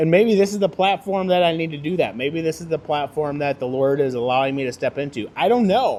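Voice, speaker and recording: A man with a fairly high pitch talks at a fairly quick pace in an animated tone, with lively intonation and hardly any pauses. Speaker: podcast host. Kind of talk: casual monologue. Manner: loud.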